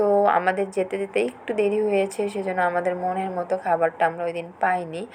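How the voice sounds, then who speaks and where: Noticeable background noise behind a woman's medium-pitched voice, flat and monotone in intonation. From Bangladesh, Rangpur (North Bengal). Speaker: vlogger. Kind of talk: vlog voiceover narration. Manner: halting, many fillers.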